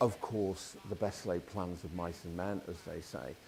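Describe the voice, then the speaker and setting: With a Liverpool accent, a man speaks at a moderate pace in a very deep, low pitch and fairly even intonation. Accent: Scouse. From Liverpool, Merseyside. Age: 50s. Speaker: band leader, musician. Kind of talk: interview.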